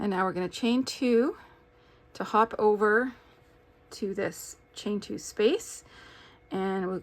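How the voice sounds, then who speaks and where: Her pace is fairly slow, with long, frequent pauses. The woman's pitch is medium, with ordinary variation. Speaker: crochet teacher. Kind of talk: tutorial. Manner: casual, with filler words.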